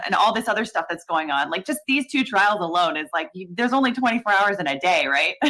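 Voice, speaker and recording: With an American accent and a bright, sharp tone, a woman talks at a fairly quick pace with lively intonation and hardly any pauses. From US, California, Lithuanian-American community. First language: Lithuanian. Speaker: legal commentary streamer. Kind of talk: casual panel chat on a livestream. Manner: halting, many repeated words.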